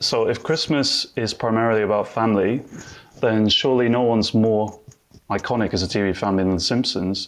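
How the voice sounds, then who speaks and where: Speaking with a British accent, a man talks fairly quickly at medium pitch, keeping fairly even intonation and very even loudness. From UK. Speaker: TV writer. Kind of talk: panel debate. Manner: hesitant, many fillers.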